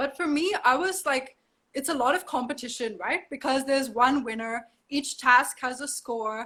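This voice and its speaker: A woman with a high pitch uses a raised, projected voice with an animated, bright and sharp tone. She keeps a moderate pace with ordinary pitch variation. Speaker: model. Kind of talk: casual interview. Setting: video call from home.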